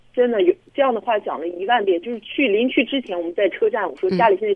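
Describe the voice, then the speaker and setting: A woman's fairly high voice at a very fast pace, with very wide pitch swings. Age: 20s. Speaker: caller. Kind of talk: phone-in counselling conversation.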